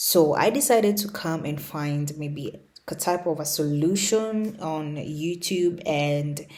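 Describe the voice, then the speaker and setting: A woman's very deep, low voice with a non-native accent. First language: not English. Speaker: lifestyle YouTuber. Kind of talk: unscripted rant. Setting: home recording on laptop. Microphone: laptop mic, no camera.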